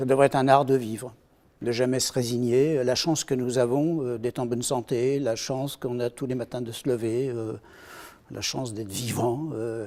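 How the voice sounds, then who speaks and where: With a dark, mellow tone, a man speaks at a moderate pace and a medium pitch. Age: 60s. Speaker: retired aviation engineer. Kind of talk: interview. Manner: hesitant, many fillers.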